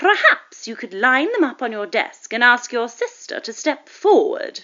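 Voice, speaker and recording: Using a put-on character voice, a woman speaks high and at a moderate pace. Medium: read story. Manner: cold, precise, sarcastic.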